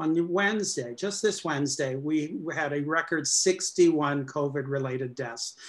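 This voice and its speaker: A man at a fairly high pitch and fairly slow pace, with ordinary pitch variation, hardly any pauses and a quiet background. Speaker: state economic development official. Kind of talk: panel discussion. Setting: video call. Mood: serious, measured. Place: home room. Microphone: webcam.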